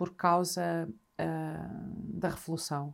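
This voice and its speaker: The recording is very clean with a silent background. A woman speaks in a dark, mellow tone. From northern Portugal, Trás-os-Montes (Vila Real). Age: 50s. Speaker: journalist and writer. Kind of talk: casual chat.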